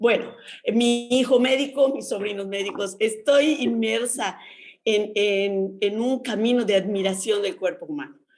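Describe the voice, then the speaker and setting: Woman at a fairly high pitch, fairly slow pace and ordinary pitch variation, with music in the background. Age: 60s. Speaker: nurse and sex educator, book author. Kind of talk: radio interview.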